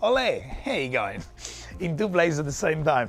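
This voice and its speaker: With a Spanish accent and very wide pitch swings, a man speaks in an animated tone over noticeable background noise. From Spain, Murcia. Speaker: chef. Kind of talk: live cooking demo.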